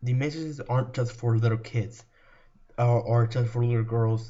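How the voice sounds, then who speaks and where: A somewhat breathy man speaks with monotone, flat intonation. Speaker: video creator, fan commentator. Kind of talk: commentary video monologue. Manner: halting, many repetitions and fillers.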